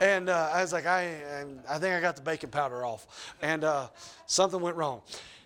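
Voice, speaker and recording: A man's high-pitched voice with a Southern US accent, moderate pace and ordinary pitch variation. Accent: Southern US (Georgia). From US South, Georgia. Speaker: pastor. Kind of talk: sermon. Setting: church. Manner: loud when excited, toned down.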